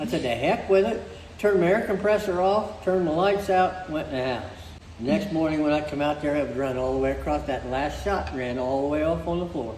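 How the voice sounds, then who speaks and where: A man speaks at a fairly quick pace with lively intonation and a fairly high pitch, with audible room echo and noticeable background noise. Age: 80s+. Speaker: car restorer. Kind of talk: casual chat.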